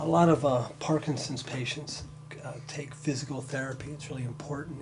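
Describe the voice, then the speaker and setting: A man speaks at a moderate pace, with noticeable background noise behind him. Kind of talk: personal documentary talk. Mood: matter-of-fact, reflective. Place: home room. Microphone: camera far.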